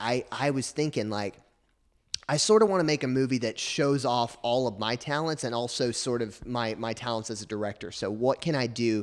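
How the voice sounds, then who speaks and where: With a Southern US accent, a man talks fairly quickly at a medium pitch with ordinary pitch variation. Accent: US South. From Arkansas. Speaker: film student. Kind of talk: casual chat.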